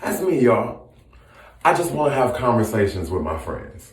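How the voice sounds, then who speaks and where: An animated man's voice of medium pitch, with very wide pitch swings and audible room echo. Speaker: social media commentator. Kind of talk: casual chat; impassioned monologue. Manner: loud when passionate.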